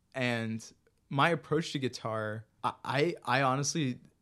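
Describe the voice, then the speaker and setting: Against a quiet background, a man speaks with an American accent at a medium pitch. He has an ordinary speaking voice with ordinary pitch variation. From US, Maryland (Bethesda). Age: 20s. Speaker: musician. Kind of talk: casual interview.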